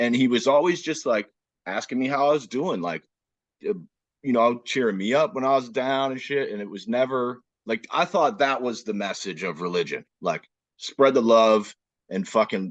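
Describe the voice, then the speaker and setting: A man talks at a moderate pace in a plain, everyday voice with medium pitch. His intonation is lively, and the background is quiet. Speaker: podcast host. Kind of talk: casual podcast conversation.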